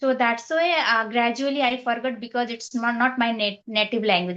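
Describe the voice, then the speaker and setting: With a Nepali accent, a woman speaks in a high pitch at a moderate pace. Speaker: English learner, former teacher. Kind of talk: casual conversation practice. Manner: halting, with many fillers.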